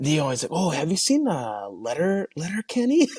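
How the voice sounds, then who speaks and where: A man talks with a Canadian accent. His pitch swings very widely. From Canada. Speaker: retired hockey player. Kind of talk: podcast interview. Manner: halting, many repetitions.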